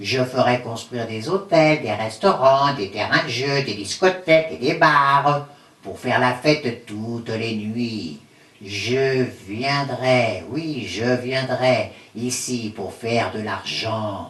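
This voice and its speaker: A cartoonish character voice is used. The pace is fairly slow. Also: man, medium pitch for a man. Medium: puppet.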